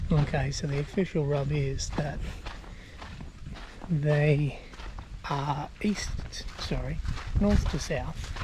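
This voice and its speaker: In an Australian accent, the speaker talks at a very slow pace with long, frequent pauses over noticeable background noise. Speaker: travel vlogger. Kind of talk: casual vlog narration outdoors. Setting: outdoors. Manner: casual, conversational.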